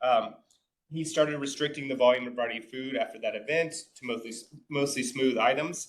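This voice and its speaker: A man speaks at a medium pitch and a fairly quick pace. His intonation is fairly even, but his loudness swings widely. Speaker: clinical feeding specialist, case manager. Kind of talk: conference presentation. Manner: fast.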